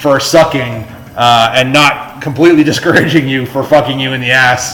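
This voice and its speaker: Amid music in the background and audible room echo, a man talks at a fairly quick pace with ordinary pitch variation. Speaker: pinball streamer. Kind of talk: live gameplay commentary. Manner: loud.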